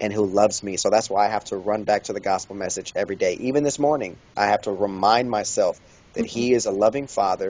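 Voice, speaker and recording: A man speaks fairly quickly in an unremarkable speaking voice. His pitch sits fairly low. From Kansas City, Kansas. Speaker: pastor and author. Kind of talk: interview.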